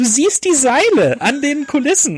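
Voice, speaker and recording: Very wide pitch swings mark this man's speech. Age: 20s. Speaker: film critic. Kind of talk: casual chat.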